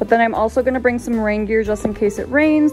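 A woman speaks while faint music plays in the background. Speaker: hiking vlogger. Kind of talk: casual vlog chat. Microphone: phone near.

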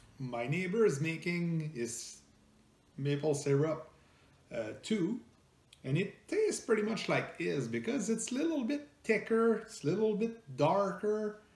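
A man with a French Canadian accent speaks slowly in a slightly mellow tone, his pitch swinging widely.

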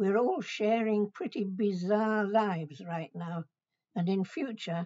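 A woman with a British accent at a fairly slow pace, ordinary pitch variation, and a quiet background. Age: 80s+. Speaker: retired adult education pioneer. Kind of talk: recorded message to students. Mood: warm, gently humorous. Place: home room. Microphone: webcam.

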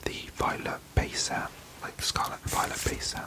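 A man talks over loud background noise. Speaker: card collector content creator. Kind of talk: casual vlog chat. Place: home room.

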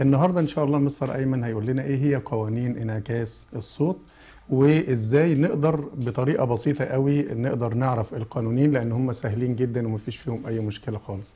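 With normal pitch movement, a man speaks at a moderate speed. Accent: Egyptian. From Egypt. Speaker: educational TV presenter and teacher. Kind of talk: educational TV lesson. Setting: TV studio with phone-ins. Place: studio.

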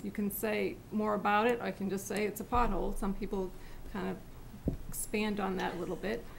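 A woman speaks at a moderate pace with fairly even intonation and vocal fry. Light background noise can be heard. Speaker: town staff member. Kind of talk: software demonstration. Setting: town board meeting. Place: meeting room. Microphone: podium.

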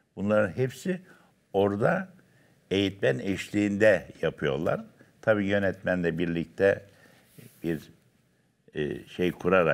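A man speaks at a very slow pace, with long, frequent pauses, against a quiet background. His pitch is fairly low, with ordinary variation. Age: 70s. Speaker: dance instructor. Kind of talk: casual chat. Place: studio. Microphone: lapel.

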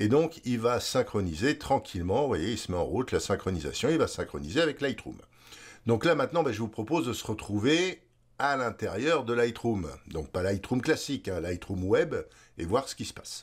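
At a moderate pace and medium pitch, a man talks with vocal fry and very wide pitch swings on a very clean recording with a silent background. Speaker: photography tutorial host. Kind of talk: tutorial. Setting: screen-recorded video tutorial. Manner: halting, many filler words.

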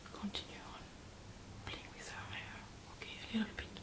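Over loud background noise, the speaker goes at a moderate pace. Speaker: ASMR host giving a hair massage. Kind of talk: soft ASMR chat to viewers. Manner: soft ASMR whisper near ear. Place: home room.

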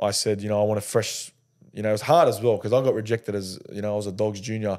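A man with an Australian accent, a dark, mellow tone, fairly low pitch, fairly even intonation, and a very fast pace against a quiet background. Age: 20s. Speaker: rugby league player. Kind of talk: casual chat. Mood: relaxed, storytelling. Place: studio. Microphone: studio mic.

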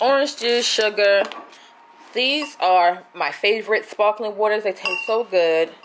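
Ordinary pitch variation from a female speaker, with noticeable noise in the background. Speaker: vlogger. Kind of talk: casual vlog chat, grocery haul. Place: kitchen. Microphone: phone near.

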